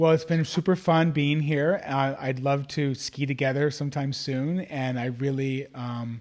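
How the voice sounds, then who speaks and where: A plain, everyday voice: a man's fairly high pitch, fairly slow pace, fairly even intonation and hardly any pauses. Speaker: life coach and author. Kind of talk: casual chat. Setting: live video call.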